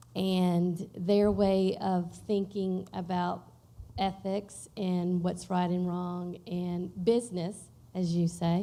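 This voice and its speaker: A woman speaks very slowly at a medium pitch in a monotone, flat intonation, with a dark, mellow tone. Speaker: teacher asking a question. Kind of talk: audience question. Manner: loud.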